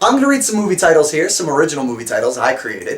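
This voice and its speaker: With lively intonation, a man talks as noticeable background noise carries on around him. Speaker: host of an improv game show. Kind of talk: casual host talk to camera.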